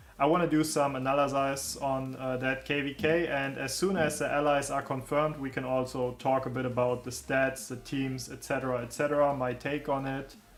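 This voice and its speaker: Amid noticeable background noise and audible room echo, a man at medium pitch talks at a fairly quick pace with hardly any pauses and a monotone, flat intonation. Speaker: gaming streamer. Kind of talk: casual live stream chat. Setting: live stream. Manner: loud.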